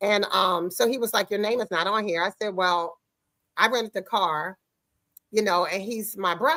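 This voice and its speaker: Loud and animated, a woman with a bright, sharp tone talks at a moderate pace and medium pitch with ordinary pitch variation, in a dry, close recording with no echo. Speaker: talk show host. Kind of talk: casual chat. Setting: studio with guests in the room.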